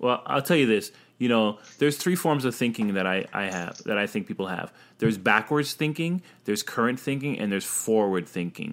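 On a very clean recording with a silent background, a man with an ordinary speaking voice talks at a fairly quick pace at medium pitch with lively intonation. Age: young. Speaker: podcast co-host. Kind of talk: casual chat.

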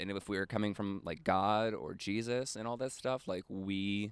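An ordinary speaking voice, this man's has an American accent, a fairly low pitch with ordinary variation and a fairly slow pace, on a very clean recording with a silent background. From Rhode Island, US. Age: 20s. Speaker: podcast host and comedian. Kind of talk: casual interview conversation.

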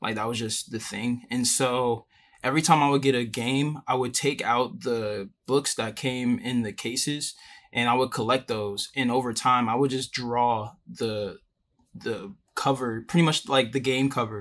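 This man has an ordinary speaking voice, with an American accent and a medium pitch. He talks at a fairly slow pace with fairly even intonation. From Richmond, Virginia, US. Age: 20s. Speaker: illustrator and independent animator. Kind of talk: casual interview. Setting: video call.

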